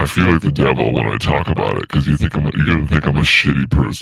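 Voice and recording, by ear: In a put-on character voice, a man rattles along at a very fast pace with a very deep, low pitch.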